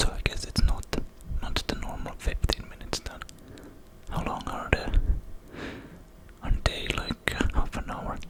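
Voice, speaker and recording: Whispering at a moderate pace with a relaxed tone, the speaker leaves long, frequent pauses over noticeable background noise. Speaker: ASMR creator. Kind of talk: whispered ASMR facts reading. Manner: whispered; close-up whisper.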